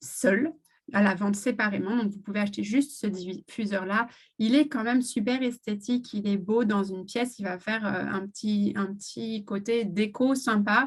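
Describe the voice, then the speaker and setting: A woman speaks fairly slowly at medium pitch, somewhat breathy. Her pitch varies in an ordinary way. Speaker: essential oils seller. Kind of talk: live stream product presentation. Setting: live video stream. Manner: hesitant, many fillers.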